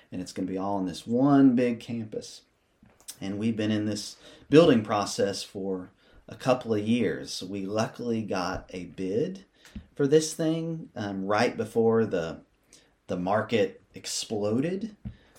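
A man's voice carries a dark, mellow tone at a fairly low pitch. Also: lively intonation, fairly slow pace. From US South, Athens, Tennessee. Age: 30s. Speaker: school administrator and musician. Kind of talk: casual interview. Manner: hesitant, many fillers.

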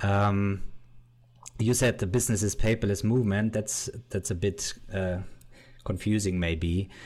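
A man with a German accent speaks at a fairly slow pace with long, frequent pauses. The recording is very clean, with a silent background. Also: fairly low pitch for a man. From Bavaria, Germany. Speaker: YouTuber and entrepreneur. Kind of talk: interview. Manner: loud.

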